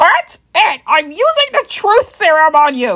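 This put-on character voice is squeaky and extremely high, moving at a fairly slow pace. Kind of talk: comic overacting. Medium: fan dub.

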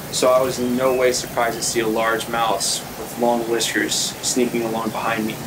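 A man's medium-pitched, monotone voice with flat intonation over noticeable background noise. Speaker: audiobook reader / actor and model. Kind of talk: fantasy audiobook reading, first-person narration.

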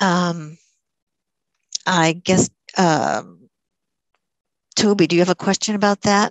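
Very slowly and with long, frequent pauses, a woman speaks at a fairly low pitch and very even loudness against a quiet background. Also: ordinary pitch variation, dry sound with no echo. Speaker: moderator and poet. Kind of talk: poem reading, reflective elegy read aloud. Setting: video call. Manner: slow, measured, hushed and tender. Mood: somber, reflective. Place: home room. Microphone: headset.

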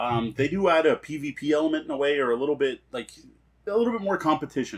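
The intonation is lively. The pace is fast. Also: man.

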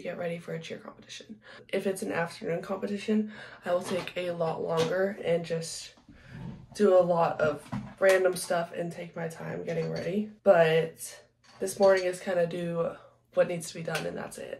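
A woman talks at a moderate pace, with light noise in the background. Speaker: cheerleader vlogger. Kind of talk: casual vlog chat. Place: home room.

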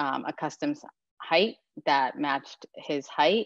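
A woman with a very deep, low pitch is heard in a dry, echo-free sound against a quiet background. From Japan and Denmark. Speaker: interior designer. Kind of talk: slide presentation. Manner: hesitant, many fillers. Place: home room. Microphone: webcam.

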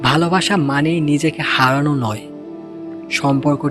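Music plays in the background. A man talks in a fairly high voice. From Bangladesh. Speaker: radio-style storyteller. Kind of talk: radio-style emotional motivational narration.

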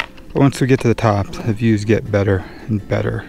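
A man at a fairly quick pace, with ordinary pitch variation, a dry sound with no echo, and faint music in the background. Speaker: hiking vlogger. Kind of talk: casual vlog chat. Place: open country. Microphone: phone near.

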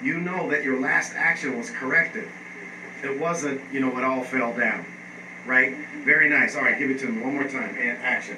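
Noticeable background noise sits behind a voice moving at a moderate pace with fairly even intonation. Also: man, fairly high pitch for a man. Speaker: acting class coach. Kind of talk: coaching instruction and class lecture. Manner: casual, directive, conversational. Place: classroom.

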